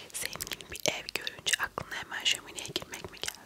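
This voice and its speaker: Whispered words come from a woman. Her pace is moderate. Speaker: ASMR creator. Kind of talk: ASMR roleplay, whispered and soft-spoken with mouth sounds. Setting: studio, close microphone. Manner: whispered, soft-spoken, hushed. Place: home room. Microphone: lapel.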